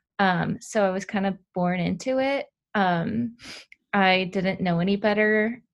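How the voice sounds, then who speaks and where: A woman speaks at medium pitch. Her loudness stays very even throughout. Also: ordinary pitch variation, fairly slow pace. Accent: Californian. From Southern California. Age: 20s. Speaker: former college soccer player recovering from injury. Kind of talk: interview.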